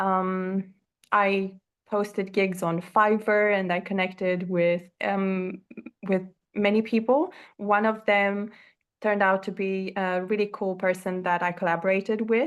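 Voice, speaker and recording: Over a quiet background, a woman with a non-native accent speaks fairly slowly at a medium pitch, her intonation flat and monotone. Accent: non-native English accent, noticeable. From Romania. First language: Romanian. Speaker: course creator. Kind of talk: interview. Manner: halting, many fillers.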